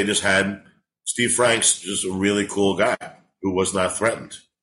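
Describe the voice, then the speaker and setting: A man with a New York accent speaks at a moderate pace. His medium-pitched voice has a bright, sharp tone. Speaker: stand-up comedian. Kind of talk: casual chat. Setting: living in Los Angeles.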